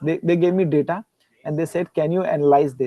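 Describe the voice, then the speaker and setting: Speaking in an Indian accent, a man uses a fairly high pitch. His intonation is fairly even. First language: Hindi. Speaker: guest lecturer and researcher. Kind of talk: Q&A conversation after a lecture. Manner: halting, with repetitions.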